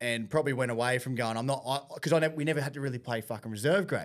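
Speaking very fast with an Australian accent, a man at medium pitch shows ordinary pitch variation on a very clean recording with a silent background. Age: 30s. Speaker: podcast host, amateur rugby league player. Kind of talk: casual chat.

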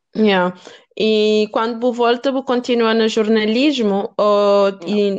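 A woman talks at a very slow pace with a fairly high pitch. Her loudness is very even and her intonation fairly even. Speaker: podcast host. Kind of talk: interview.

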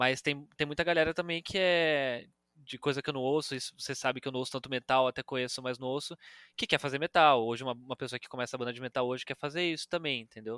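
Talking very fast in a bright, sharp tone, a man at medium pitch keeps fairly even intonation in a very clean, silent-background recording that sounds dry and close with no echo. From Brazil, Campinas (São Paulo state). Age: 20s. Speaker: journalist. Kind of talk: casual chat.

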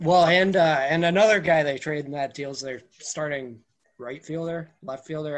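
Heard here is an ordinary speaking voice from a man with a fairly high pitch. He speaks at a moderate pace. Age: 20s. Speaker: sports blogger. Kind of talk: casual chat.

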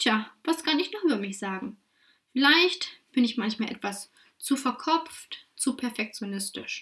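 A woman with a high pitch, very wide pitch swings, and a fairly slow pace. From Saxony-Anhalt, Germany (Wittenberg). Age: 20s. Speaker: podcast host and career coach. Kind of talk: solo podcast monologue.

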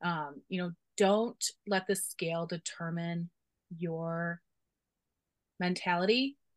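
A woman with a Chicago accent speaks very slowly in a fairly low voice, with long, frequent pauses and ordinary pitch variation. The sound is dry and close, with no echo. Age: 40s. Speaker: university staff member. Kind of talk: casual interview.

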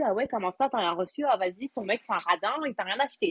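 A woman's lively intonation carries her very fast speech. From France. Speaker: Clubhouse participant, mother. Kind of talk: casual chat.

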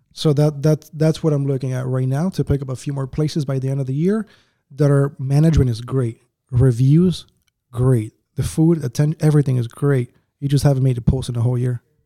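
A man with a plain, everyday voice and an American accent talks at a fairly quick pace, his fairly high pitch following fairly even intonation. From Uruguay, then US (New Jersey, Atlanta) from age ten. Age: 20s. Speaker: business owner, entrepreneur. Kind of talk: casual interview chat.

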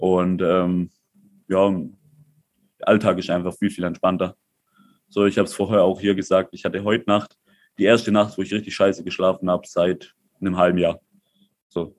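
Speaking at a moderate pace with long, frequent pauses, a man holds a very deep, low pitch in a monotone, flat intonation. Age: 20s. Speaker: crypto entrepreneur. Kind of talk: casual chat.

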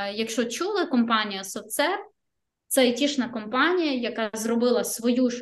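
This is a woman speaking. Her voice sits high in pitch. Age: 20s. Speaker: front-end developer. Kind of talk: casual interview.

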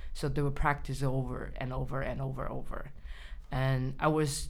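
Fairly slow speech from a woman, in a room with audible echo. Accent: Chinese. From China. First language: Mandarin Chinese. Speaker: writer. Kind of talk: interview. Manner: halting.

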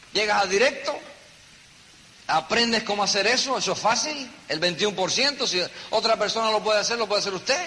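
Raised and projected, a man's high-pitched voice shows ordinary pitch variation over noticeable background noise. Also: moderate pace. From New York, the Bronx. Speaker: network marketing leader. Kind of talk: motivational talk.

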